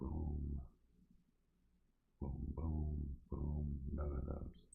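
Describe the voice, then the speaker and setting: A man's very deep, low voice with vocal fry, relaxed in tone, at a very slow pace. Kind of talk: ASMR-style relaxed talk while playing a puzzle. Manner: relaxed, casual, thinking aloud.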